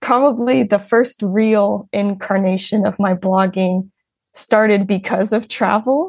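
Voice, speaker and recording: Her medium pitch somewhat breathy, a woman with an American accent speaks at a fairly slow pace with ordinary pitch variation. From United States. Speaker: English teacher and blogger. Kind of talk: casual interview.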